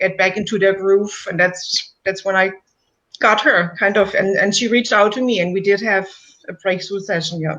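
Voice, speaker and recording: With a German accent, a woman talks with fairly even intonation. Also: medium pitch for a woman, moderate pace. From Germany. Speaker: coach, client of the host. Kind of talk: client testimonial interview. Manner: halting.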